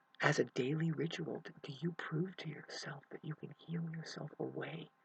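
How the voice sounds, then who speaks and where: Someone is whispering at a moderate pace. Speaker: self-help vlogger. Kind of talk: emotional monologue to camera. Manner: halting.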